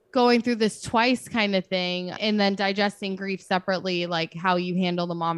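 With a dry, close sound and no echo, a woman speaks at a moderate pace and a medium pitch that varies in an ordinary way. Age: 30s. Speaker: grief podcast host. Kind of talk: casual interview.

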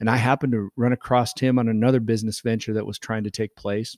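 The recording of this man, who has a Midwestern American accent and a medium-pitched voice, is very clean with a silent background and a dry, close sound with no echo. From Nebraska. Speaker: winemaker. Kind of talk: casual interview. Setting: winery event room.

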